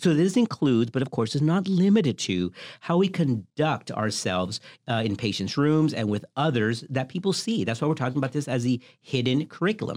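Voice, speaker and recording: A man with an American accent, medium pitch, very wide pitch swings and a fairly quick pace. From US South. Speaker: OB-GYN physician, podcast host. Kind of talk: educational podcast chat. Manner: animated.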